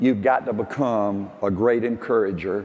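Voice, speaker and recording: A man talks at a fairly slow pace. He has a Southern US accent. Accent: Southern US (Georgia). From US South. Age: 70s. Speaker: business leader and motivational speaker. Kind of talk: motivational speech. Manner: animated.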